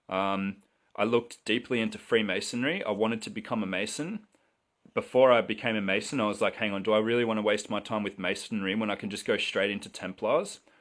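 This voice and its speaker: A man's fairly low voice in an Australian accent, very fast and with fairly even intonation. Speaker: livestreamer selling mushroom supplies. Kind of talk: live stream monologue. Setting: live video stream.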